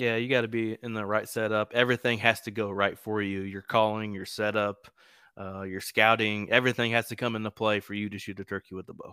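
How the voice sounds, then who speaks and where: A man's fairly low, bright, sharp voice at a fairly quick pace, with monotone, flat intonation, big swings in loudness and a dry, close sound with no echo. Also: very clean recording, silent background. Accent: US Midwestern. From East Central Indiana. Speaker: hunting podcaster. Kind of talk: casual interview.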